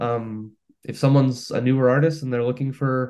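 A man with an unremarkable speaking voice at a medium pitch talks at a moderate pace against a quiet background. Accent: Canadian. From Canada, Hamilton, Ontario. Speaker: singer-songwriter. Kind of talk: casual interview chat.

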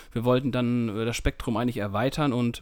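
Here is an ordinary speaking voice at a fairly quick pace. Its intonation is fairly even. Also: man. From northern Germany, East Frisia near Emden. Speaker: music magazine editor, co-host. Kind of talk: casual chat. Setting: remote call.

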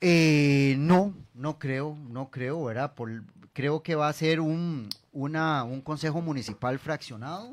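A man with a Costa Rican accent, fairly high in pitch, with ordinary pitch variation, a very slow pace, and a very clean recording over a silent background. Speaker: mayoral candidate. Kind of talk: radio interview. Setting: radio studio. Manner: halting.

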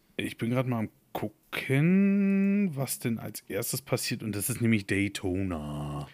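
Speaking fairly slowly, a man uses a medium pitch with very wide pitch swings. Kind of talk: casual chat. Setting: studio, sitting on couch.

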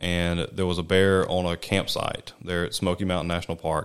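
In an American accent, a man talks at a fairly quick pace. His pitch is very deep and low, with monotone, flat intonation. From Mississippi. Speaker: wildlife biologist. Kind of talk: interview. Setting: studio.

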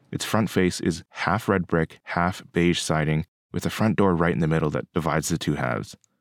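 A man with a Canadian accent speaks at a very deep, low pitch with vocal fry, in a dry, close sound with no echo on a very clean recording with a silent background. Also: ordinary pitch variation, moderate pace. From Kingston, Ontario, Canada. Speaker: podcast host and architecture student. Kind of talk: narration; on-location commentary while driving.

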